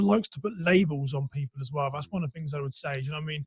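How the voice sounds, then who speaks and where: A man talks very fast with an English accent. The sound is dry and close, with no echo. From England, Reading. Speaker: entrepreneur, former police officer. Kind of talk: interview conversation. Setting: podcast recording.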